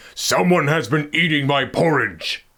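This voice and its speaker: In a put-on, growling character voice, a man talks at a moderate pace, fairly high in pitch, with ordinary pitch variation. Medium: read story.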